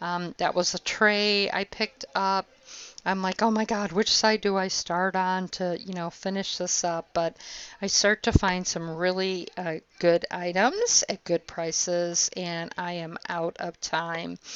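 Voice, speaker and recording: Monotone, flat intonation at a fairly slow pace. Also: woman, medium pitch for a woman. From Italy. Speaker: thrift reseller vlogger. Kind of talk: casual narrated haul video. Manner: conversational, hesitant with fillers.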